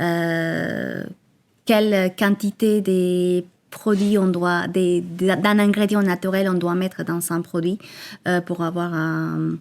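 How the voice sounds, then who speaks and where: A woman's very slow, monotone, flat delivery at a fairly low pitch, in a strong Colombian accent. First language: Spanish (speaking French). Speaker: entrepreneur, cosmetics founder. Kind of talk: podcast interview. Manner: hesitant, many fillers.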